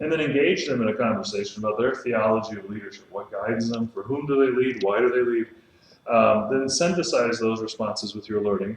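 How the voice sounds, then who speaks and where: Over noticeable background noise, a man talks at a fairly quick pace. His pitch is medium, with ordinary pitch variation. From Texas, Austin. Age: 30s. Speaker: pastor teaching a leadership class. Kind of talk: lecture. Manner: fast.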